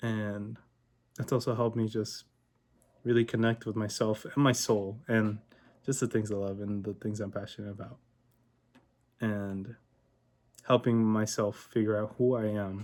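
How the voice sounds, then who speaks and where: Soft-spoken and flat in a monotone, the voice keeps a moderate pace with long, frequent pauses on a very clean recording with a silent background. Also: man, fairly low pitch for a man. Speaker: vlogger. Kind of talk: casual monologue vlog. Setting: home recording at night. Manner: quiet, talking softly late at night.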